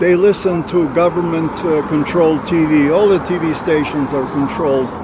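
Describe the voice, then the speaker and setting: A man with a fairly high pitch talks at a moderate pace with an American accent. Audible room echo and noticeable background noise surround him. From USA. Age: 80s+. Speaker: retired army officer. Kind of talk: casual chat. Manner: animated.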